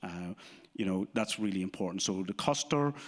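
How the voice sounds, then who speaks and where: A man with an Irish accent and a fairly low pitch talks at a very fast pace, recorded very cleanly against a silent background. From Ireland. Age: 50s. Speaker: insurance business owner. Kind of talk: live interview. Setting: stage with audience.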